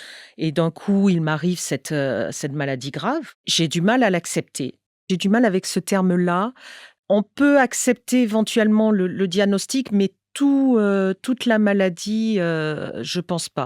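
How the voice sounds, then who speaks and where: In a very clean recording with a silent background and a dry, close sound with no echo, a woman speaks very slowly at medium pitch with lively intonation. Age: 60s. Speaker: English teacher, cancer patient. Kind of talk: testimony. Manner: halting, many hesitations.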